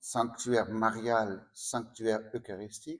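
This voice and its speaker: A very slow pace with a slight Dutch accent. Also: man. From Netherlands. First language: Dutch (speaking French). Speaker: priest. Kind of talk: spiritual talk. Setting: sanctuary with audience. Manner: halting.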